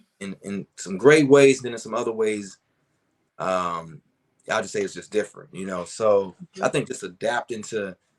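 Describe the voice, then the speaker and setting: In a plain, everyday voice, a man with an American accent speaks at a fairly low pitch and moderate pace. His pitch variation is ordinary, and his loudness swings widely. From Chicago. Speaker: R&B singer and songwriter. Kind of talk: interview answer. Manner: casual, relaxed.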